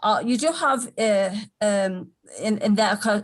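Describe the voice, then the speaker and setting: The voice is somewhat breathy, set against a quiet background. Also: woman. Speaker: psychic medium doing aura readings. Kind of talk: live stream reading. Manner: fast; halting, many fillers.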